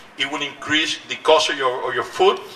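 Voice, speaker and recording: A man speaks at a moderate pace with a Cuban accent. Noticeable background noise runs beneath him. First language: Spanish. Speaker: politician. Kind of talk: rally speech. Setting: outdoors. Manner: animated; halting.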